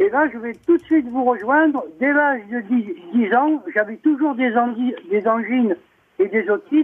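The man's pitch is extremely high. He speaks at a fairly slow pace with lively intonation. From Saint-Tropez, Var, France. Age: 70s. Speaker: caller. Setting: phone call.

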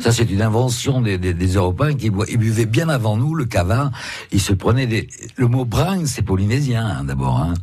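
A man with a medium pitch talks at a moderate pace with lively intonation and very even loudness, amid noticeable background noise and audible room echo. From West Africa (born), schooled in Saint-Malo, France. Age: 70s. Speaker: painter, actor and author. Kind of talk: radio interview. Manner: halting.

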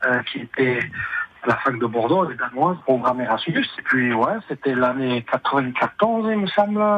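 Lively intonation marks this man's speech at a fairly slow pace. Noticeable background noise is present. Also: medium pitch for a man. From French Basque Country, Bayonne. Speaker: expatriate interviewee. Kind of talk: radio interview. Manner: halting.

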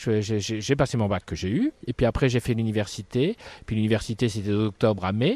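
A man's dark, mellow voice at a fairly low pitch, with fairly even intonation and a moderate pace against a quiet background. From northern France, Dunkirk. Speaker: circus ringmaster. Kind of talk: casual interview. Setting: outdoors in a park.

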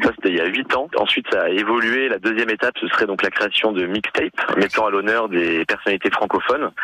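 Over noticeable background noise, a man with a fairly low voice talks at a fairly quick pace. The sound is dry and close, with no echo. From Nice, France. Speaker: musician, band co-founder. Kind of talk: radio interview.

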